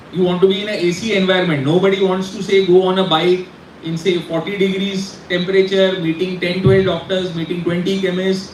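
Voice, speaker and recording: A man speaks at a fairly quick pace with a high pitch. Noticeable background noise and audible room echo surround him. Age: 40s. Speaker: pharma industry speaker. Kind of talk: guest talk to students. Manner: animated.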